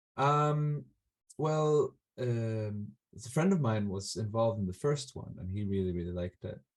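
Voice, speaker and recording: Speaking with an Icelandic accent, a man talks at a moderate pace in a medium pitch with lively intonation. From Iceland, Reykjavik. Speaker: folk musician. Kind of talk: interview. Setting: video call. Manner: halting, many fillers.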